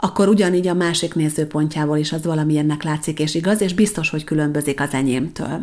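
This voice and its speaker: With an unremarkable speaking voice, a woman talks fairly quickly with ordinary pitch variation. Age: 40s. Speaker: podcast host, personal development consultant. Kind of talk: solo monologue podcast.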